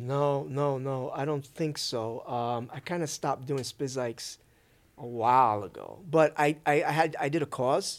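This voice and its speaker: A man's plain, everyday voice with an American accent, fairly high in pitch, fairly slow, with fairly even intonation, on a very clean recording with a silent background. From Brooklyn, New York. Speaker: sneaker YouTuber turned crypto investor. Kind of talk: casual interview chat.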